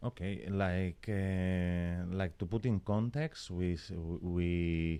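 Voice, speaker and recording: A man's very deep, low voice in a Spanish accent, very slow, with a dark, mellow tone, ordinary pitch variation, very even loudness and a very clean recording with a silent background. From Spain, Barcelona. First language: Spanish or Catalan. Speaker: fashion brand co-founder and creative director. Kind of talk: interview. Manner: halting, non-native phrasing.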